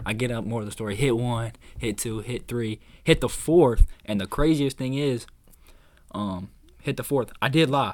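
On a very clean recording with a silent background, a man talks at a moderate pace. He has an unremarkable speaking voice, medium in pitch with ordinary pitch variation. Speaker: podcast host and college basketball player. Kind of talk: casual chat.

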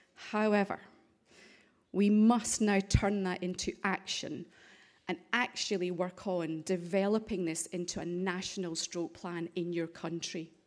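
A woman speaks at a very slow pace in a strong Scottish accent, her intonation fairly even. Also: medium pitch for a woman, very clean recording, silent background. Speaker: stroke charity director. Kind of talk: conference presentation. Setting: parliament auditorium.

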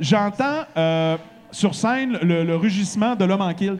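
A man talks high in pitch, with ordinary variation and an animated tone. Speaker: radio host and podcast host. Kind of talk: live podcast chat before an audience. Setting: bar stage with live audience.

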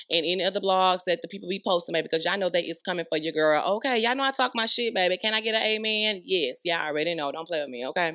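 The voice is bright and sharp, animated, with lively intonation, racing at a very fast pace with hardly any pauses. The recording is very clean, with a silent background. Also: woman, medium pitch for a woman. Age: 30s. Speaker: podcast host. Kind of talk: casual chat.

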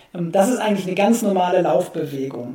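Noticeable background noise runs beneath the recording. A man speaks at a moderate pace. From Germany, Essen (Ruhr area). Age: 40s. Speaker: running shoe expert. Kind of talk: interview.

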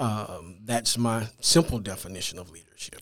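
The speaker is a man with a Louisiana accent. He uses a medium pitch and a fairly slow pace. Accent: Louisiana Southern US. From Louisiana (Natchitoches). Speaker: school administrator, pastor and author. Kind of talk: interview.

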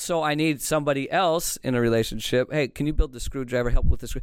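A plain, everyday voice from a man with a fairly high pitch and fairly even intonation. He talks at a moderate pace on a very clean recording with a silent background. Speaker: Navy officer and podcast host. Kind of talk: casual conversational interview.

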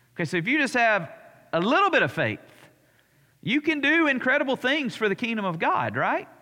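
In an Alabama accent, a man speaks in a raised, projected voice at an extremely high pitch with a bright, sharp tone. His pace is fairly quick, with very wide pitch swings and long, frequent pauses. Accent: Southern US (Alabama). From US South, Alabama. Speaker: pastor. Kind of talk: Bible study teaching. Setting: church. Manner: conversational.

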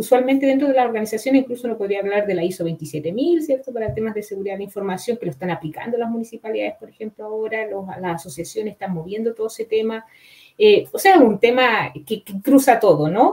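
Talking at a very fast pace, a woman with a fairly high pitch uses lively intonation and big swings in loudness. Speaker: cybersecurity professor and researcher. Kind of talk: expert interview. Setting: online live show.

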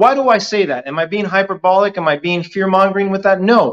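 An American accent marks this man's speech. He talks at a very fast pace. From New Jersey. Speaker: podcast co-host. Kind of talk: casual chat.

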